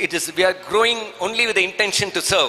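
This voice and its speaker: A man with a Keralan accent speaks at a high pitch and a fairly quick pace, with ordinary pitch variation. Noticeable background noise runs behind him. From southern India. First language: Malayalam. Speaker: Rotary district leader, seminar speaker. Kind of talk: seminar talk.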